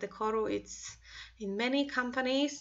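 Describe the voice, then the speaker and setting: A woman speaks with a Polish accent at a fairly slow pace. Her intonation is fairly even. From Poland. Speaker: craft designer. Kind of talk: tutorial. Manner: halting.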